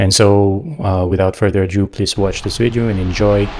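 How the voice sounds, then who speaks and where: Over a quiet background, a man speaks at a moderate pace with a fairly low pitch. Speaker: e-bike reviewer. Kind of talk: casual vlog chat. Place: home room. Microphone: webcam.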